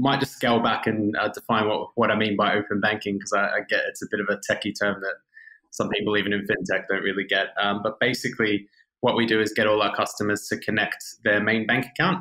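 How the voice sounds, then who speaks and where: A man with an Australian accent talks at a very fast pace, his loudness staying very even throughout. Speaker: fintech growth executive. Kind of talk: podcast interview.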